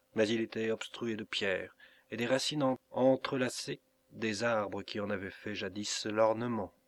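A natural reading voice is heard. Its intonation is fairly even.

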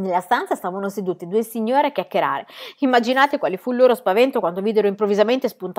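A natural reading voice comes through with ordinary pitch variation.

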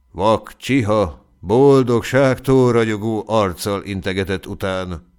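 The reading voice sounds natural. Pitch moves up and down by an ordinary amount.

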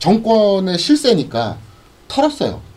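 Noticeable noise is present in the background. A man's voice comes through it. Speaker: live stream co-host. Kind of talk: casual live political talk show. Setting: live stream broadcast.

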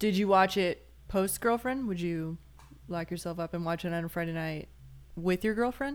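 A woman with an American accent uses a plain, everyday voice, fairly low in pitch, with ordinary pitch variation at a moderate pace. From Chicago. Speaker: cinematographer and documentary filmmaker. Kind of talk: casual chat.

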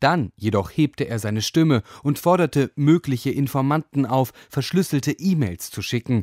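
In a very clean recording with a silent background and a dry, close sound with no echo, a man with a medium pitch and a slightly mellow tone speaks at a fairly slow pace with lively intonation.

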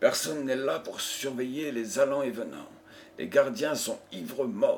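A natural reading voice is what comes through here.

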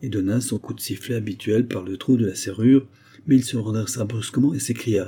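Here, text is read aloud. The delivery sounds natural.

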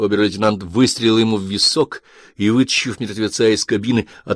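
The delivery is a natural reading voice. Its intonation stays fairly even.

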